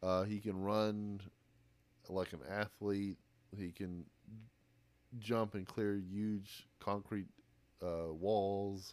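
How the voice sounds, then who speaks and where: A man with an American accent, fairly low in pitch, very slow, monotone and flat, with long, frequent pauses. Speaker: podcast host. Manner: joking.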